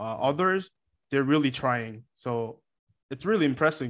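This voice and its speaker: A man in a Korean accent, medium pitch, moderate pace. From South Korea. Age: 20s. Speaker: exchange student. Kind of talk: casual interview.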